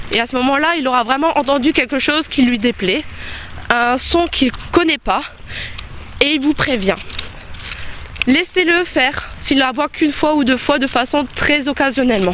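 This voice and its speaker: A woman with a high pitch speaks at a moderate pace and very even loudness, her pitch varying in an ordinary way. She takes long, frequent pauses over noticeable background noise. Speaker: dog trainer. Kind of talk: tutorial. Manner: halting.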